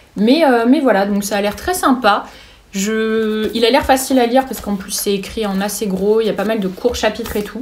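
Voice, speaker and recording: The speech holds a moderate pace and ordinary pitch variation, with noticeable noise in the background. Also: woman. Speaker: booktuber. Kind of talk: casual book haul talk. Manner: halting, many fillers.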